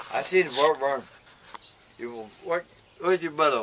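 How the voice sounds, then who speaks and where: Fairly high male voice at a moderate pace, with noticeable background noise. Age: 70s. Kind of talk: casual chat.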